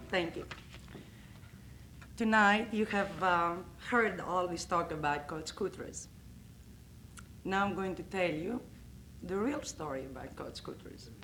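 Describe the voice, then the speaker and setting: With a Greek accent, a woman speaks at a fairly slow pace with long, frequent pauses, her tone bright and sharp amid audible room echo. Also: medium pitch for a woman, ordinary pitch variation. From Greece, Athens. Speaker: coach's wife. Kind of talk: roast speech.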